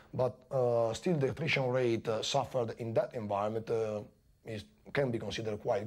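A man speaks at a fairly quick pace, his voice somewhat breathy. His pitch varies in an ordinary way. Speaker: Tornado pilot. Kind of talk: interview recollection; interview answer. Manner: halting, with fillers.

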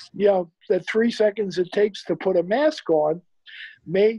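A man with a high pitch talks at a fairly slow pace in a New York accent, with ordinary pitch variation. The background is quiet and the sound is dry with no echo. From New York City, the Bronx. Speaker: retired investment firm CEO; interview guest. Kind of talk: interview. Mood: reflective, hopeful. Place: home room.

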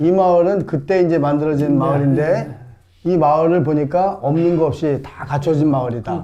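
A man's normal speaking voice, fairly high in pitch, with fairly even intonation at a moderate pace. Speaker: comedian. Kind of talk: casual talk to camera.

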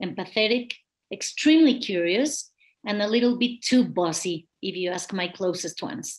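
With a Spanish accent, somewhat breathy delivery and lively intonation, the speaker talks at a moderate pace over a quiet background. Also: woman. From Mexico. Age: 40s. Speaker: kidney patient advocate, lawyer. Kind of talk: testimony. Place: home room. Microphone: webcam.

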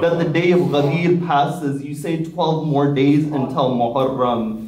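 A man at a fairly slow pace, with light background noise and audible room echo. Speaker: religious lecturer. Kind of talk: sermon. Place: hall.

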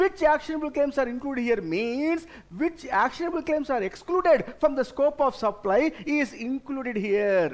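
Lively intonation at a moderate pace, with an Indian accent. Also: man, extremely high pitch for a man. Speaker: tax exam lecturer. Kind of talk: lecture. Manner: instructive, addresses students directly. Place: studio.

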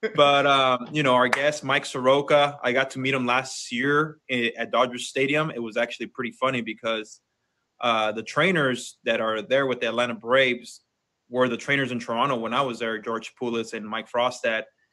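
A man at a moderate pace, his intonation fairly even, against a quiet background. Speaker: podcast co-host. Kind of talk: casual podcast chat. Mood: relaxed, friendly. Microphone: video call.

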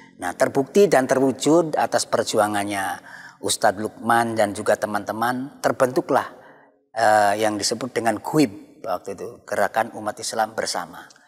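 Speaking at a moderate pace against a quiet background, the man has a medium pitch and ordinary pitch variation. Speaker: Islamic cleric. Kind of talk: religious panel discussion. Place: church. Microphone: lapel.

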